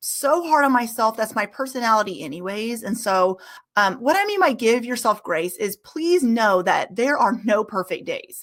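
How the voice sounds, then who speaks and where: Here is a woman with an ordinary speaking voice, pitched fairly high. She keeps a moderate pace and her intonation is lively. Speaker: music educator and business founder. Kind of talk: webinar presentation. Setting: live online webinar.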